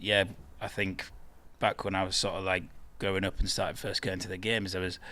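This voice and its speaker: Talking with a Yorkshire accent, a man with a fairly low pitch and a bright, sharp tone leaves long, frequent pauses. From northern England, Bradford. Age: 30s. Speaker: football fan guest. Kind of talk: casual chat. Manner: hesitant, many fillers.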